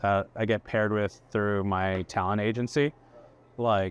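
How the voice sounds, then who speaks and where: Speaking with fairly even intonation, a man has an ordinary speaking voice pitched fairly low. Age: 40s. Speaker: chef. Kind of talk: casual chat. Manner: casual, filler-heavy.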